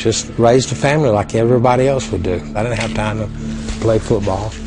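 A man at a very fast pace, ordinary pitch variation, noticeable background noise behind him. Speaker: Vietnam veteran, college football kicker. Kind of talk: interview answer. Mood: warm, reflective.

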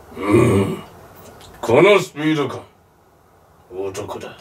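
A man's cartoonish character voice at a medium pitch, very slow, with very wide pitch swings. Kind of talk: anime dramatic acting. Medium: comedy sketch. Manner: terse, deep-toned gravitas.

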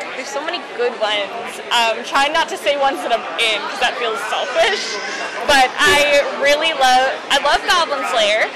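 A woman at a moderate pace with long, frequent pauses, against loud background noise. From Canada, Vancouver. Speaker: voice actress. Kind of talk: interview. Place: hall.

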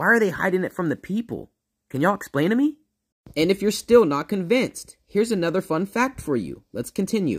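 The background is quiet. A man talks with lively intonation, his pace fairly quick. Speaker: reaction video creator. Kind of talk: commentary. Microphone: phone near.

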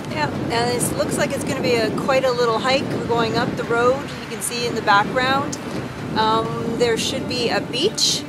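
Loud background noise fills the clip. A woman talks over it at a moderate pace. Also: ordinary pitch variation. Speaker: travel vlogger. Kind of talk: casual vlog chat. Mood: cheerful, upbeat. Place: beach.

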